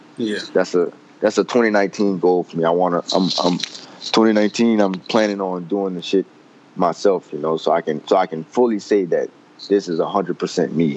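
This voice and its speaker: The speech moves at a moderate pace with fairly even intonation, and noticeable background noise runs underneath. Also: man, very deep, low pitch for a man. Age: 20s. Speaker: college student and clothing brand owner. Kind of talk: casual chat.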